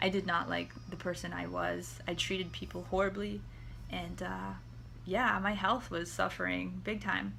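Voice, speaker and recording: With audible room echo, a woman with an American accent speaks at a moderate pace. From Akwesasne reservation, northern New York. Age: 30s. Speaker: artist. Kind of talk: personal testimony. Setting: home recording with dog on lap. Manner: halting, many fillers.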